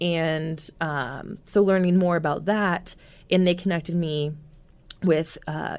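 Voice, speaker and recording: A woman's plain, everyday voice with an American accent, fairly low pitch and ordinary pitch variation. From US Midwest (Omaha, Nebraska). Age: 20s. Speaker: activist and talk show host. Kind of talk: casual interview conversation.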